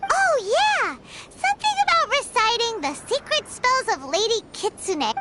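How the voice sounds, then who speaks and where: This put-on character voice is squeaky and extremely high. It moves at a moderate pace. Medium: video game. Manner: cheeky, chatty.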